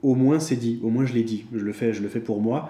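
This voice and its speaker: At a moderate pace, a man speaks in a medium pitch with a dark, mellow tone. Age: 20s. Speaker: YouTuber, personal finance vlogger. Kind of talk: casual monologue vlog. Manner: hesitant, many fillers and repetitions.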